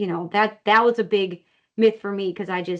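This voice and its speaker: In an American accent, a woman talks at a medium pitch with fairly even intonation. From Wisconsin. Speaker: company CEO. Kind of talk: interview. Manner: fast.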